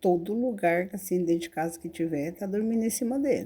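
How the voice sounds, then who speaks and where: A woman's dark, mellow tone with lively intonation. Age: 60s. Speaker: animal rescuer and pet keeper. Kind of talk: casual talk to camera.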